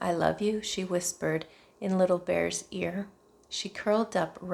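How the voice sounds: A natural reading voice rises and falls with ordinary pitch variation.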